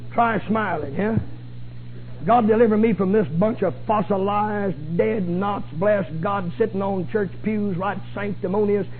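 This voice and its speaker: A man's high-pitched voice with ordinary pitch variation, music in the background. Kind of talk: sermon, preacher in full flow. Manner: rhetorical, mocking of pompous clergy, rapid and emphatic.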